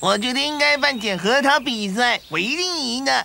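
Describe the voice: A cartoonish character voice with a fairly high pitch comes at a moderate pace.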